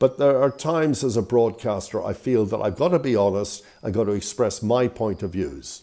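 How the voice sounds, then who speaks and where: With lively intonation and a dark, mellow tone, a man talks at a moderate pace. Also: medium pitch for a man, hardly any pauses. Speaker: broadcaster, video blogger. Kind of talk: opinion monologue.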